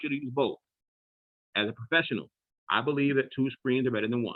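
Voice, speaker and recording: A man speaks at a medium pitch. His tone is animated. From Philadelphia, US Northeast. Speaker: trading educator. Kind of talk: online class tutorial. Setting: video call. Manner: fast; casual, animated.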